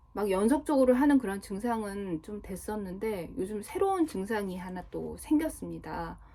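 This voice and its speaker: A woman speaks at a fairly high pitch with very wide pitch swings. Her loudness swings widely over noticeable background noise. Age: 40s. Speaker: vlogger. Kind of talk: casual monologue vlog.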